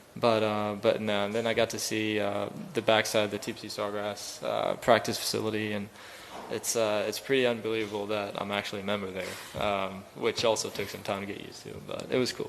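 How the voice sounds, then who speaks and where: A man talks at a fairly quick pace in a fairly low, monotone, flat voice. Audible room echo and noticeable background noise surround him. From Sweden. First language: Swedish. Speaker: professional golfer. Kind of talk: press conference. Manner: hesitant, many fillers.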